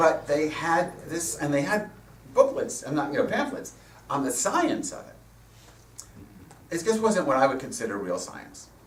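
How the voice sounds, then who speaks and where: A man with a high pitch speaks at a moderate pace, with very wide swings in pitch and loudness and long, frequent pauses. Noticeable background noise and audible room echo fill the recording. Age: 60s. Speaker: rabbi and guest speaker. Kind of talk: sermon.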